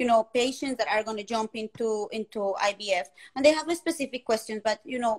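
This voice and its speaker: A woman speaks with a Colombian accent at a fairly quick pace. Her pitch is fairly high, with ordinary variation. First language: Spanish. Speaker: fertility community host. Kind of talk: live interview chat. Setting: livestream.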